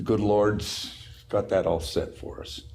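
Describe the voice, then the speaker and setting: The voice is somewhat breathy and moves at a very slow pace. Room echo is audible. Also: man. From Utah. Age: 90s. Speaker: company owner. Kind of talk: casual interview chat.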